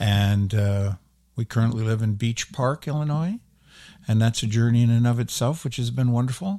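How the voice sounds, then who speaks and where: The tone is dark and mellow. Pace is moderate, with ordinary pitch variation. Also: man, medium pitch for a man, very clean recording, silent background. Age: 60s. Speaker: actor. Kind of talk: interview.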